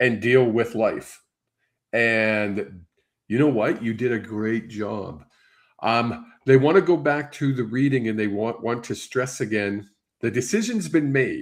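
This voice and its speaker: On a very clean recording with a silent background, a man with an ordinary speaking voice talks at a fairly slow pace, with medium pitch and ordinary pitch variation. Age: 60s. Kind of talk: psychic reading on live stream. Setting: live stream broadcast.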